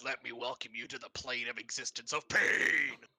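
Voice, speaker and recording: A man's put-on character voice at a moderate pace. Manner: menacing, gloating.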